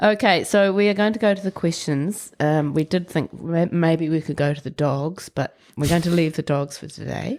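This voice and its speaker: A woman's fairly low voice in a New Zealand accent, at a moderate pace with hardly any pauses and ordinary pitch variation. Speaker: podcast host. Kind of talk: interview. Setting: studio.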